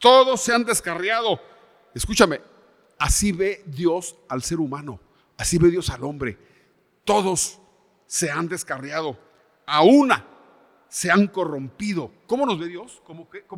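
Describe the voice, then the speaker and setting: A man's high-pitched voice with long, frequent pauses, big swings in loudness and very wide pitch swings. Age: 70s. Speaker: pastor. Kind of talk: sermon. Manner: halting.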